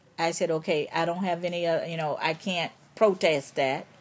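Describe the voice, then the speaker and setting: Here is a woman with a plain, everyday voice. Her pitch is fairly low with ordinary pitch variation. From Chicago. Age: 60s. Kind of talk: interview answer.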